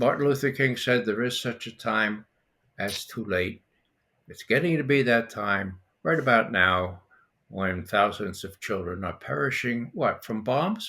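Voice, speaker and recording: Bright and sharp in tone, a man at medium pitch talks at a fairly slow pace. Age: 80s+. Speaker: former intelligence analyst. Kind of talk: political discussion.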